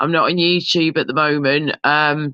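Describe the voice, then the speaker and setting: A woman speaks at a fairly slow pace with an English accent. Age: 30s. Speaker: live streamer. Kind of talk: casual chat. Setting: live stream with panel.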